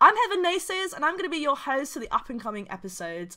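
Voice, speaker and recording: A woman with a British accent speaks in a bright, sharp tone, her pitch swinging very widely. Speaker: esports show host. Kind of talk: podcast hosting.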